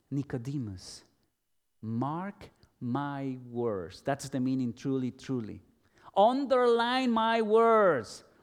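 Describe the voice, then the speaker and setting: A man with a Spanish accent speaks at a very slow pace with fairly high pitch and very wide pitch swings, on a very clean recording with a silent background. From El Salvador. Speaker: pastor. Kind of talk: sermon.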